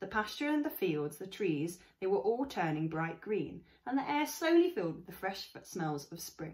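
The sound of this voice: The delivery is an unforced reading voice.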